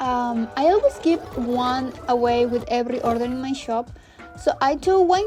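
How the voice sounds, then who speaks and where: A woman speaks at a moderate pace with a high pitch, lively intonation and a non-native accent. Noticeable background noise runs under her voice. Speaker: artist running a sticker shop. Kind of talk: vlog narration. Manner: hesitant.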